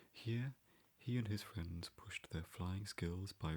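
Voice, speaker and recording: A soft-spoken man whispering, somewhat breathy, at a fairly slow pace. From English Midlands. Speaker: ASMR creator. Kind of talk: ASMR book reading. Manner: whispered and soft-spoken.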